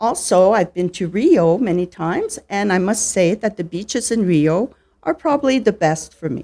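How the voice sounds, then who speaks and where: With a French Canadian accent, this voice has a dark, mellow tone and lively intonation. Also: woman, medium pitch for a woman. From Canada, Ottawa Ontario. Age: 60s. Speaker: retired teacher and teacher trainer. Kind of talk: interview. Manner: slow, clear.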